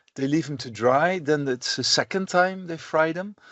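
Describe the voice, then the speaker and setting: A man with a Dutch accent and ordinary pitch variation. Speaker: professor. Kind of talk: lecture. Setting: recorded online lecture. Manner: halting, many fillers.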